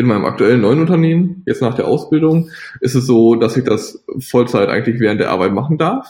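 A man's medium-pitched, somewhat breathy voice with a dark, mellow tone, lively intonation, a fairly quick pace and very even loudness. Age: 20s. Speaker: software developer. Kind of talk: interview.

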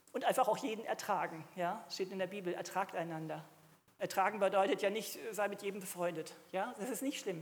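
In an unremarkable speaking voice, a woman talks at a fairly quick pace and medium pitch with ordinary pitch variation. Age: 60s. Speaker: preacher. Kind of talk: sermon.

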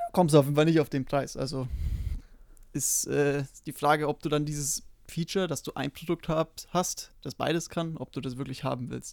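In a normal speaking voice with fairly even intonation, someone talks at a moderate pace, the sound dry and close with no echo. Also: man, fairly high pitch for a man. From Bavaria, Germany. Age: 20s. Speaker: podcast co-host, frontend developer. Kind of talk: casual chat.

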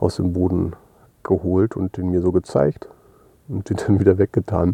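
A man speaks in a very deep, low pitch with a dark, mellow tone. The sound is dry and close, with no echo. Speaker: audio diary podcaster. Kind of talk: personal audio diary monologue. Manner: hesitant with many fillers.

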